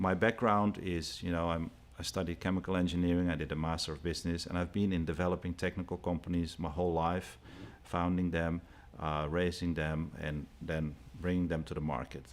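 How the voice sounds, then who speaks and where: With a Dutch accent, the speaker talks at a fairly quick pace with fairly even intonation on a very clean recording with a silent background. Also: man, very deep, low pitch for a man. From Netherlands. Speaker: company executive. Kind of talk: interview.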